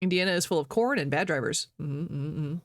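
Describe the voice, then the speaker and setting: In a very clean recording with a silent background, the speaker talks fairly quickly with an American accent. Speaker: streamer. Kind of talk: casual chat.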